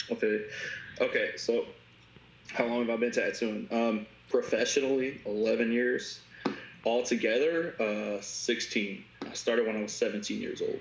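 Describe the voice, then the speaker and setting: A man with an American accent at a moderate pace, long, frequent pauses and noticeable background noise. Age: 30s. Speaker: tattoo artist. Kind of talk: casual chat. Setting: video call. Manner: halting.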